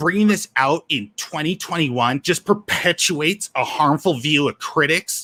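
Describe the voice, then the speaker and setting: Putting on a character voice, a man speaks at a fairly high pitch, whiny and with a whiny tone. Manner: whiny, complaining.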